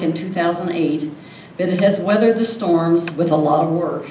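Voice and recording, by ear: With audible room echo, a woman speaks at a fairly low pitch in a slightly mellow tone and fairly even intonation.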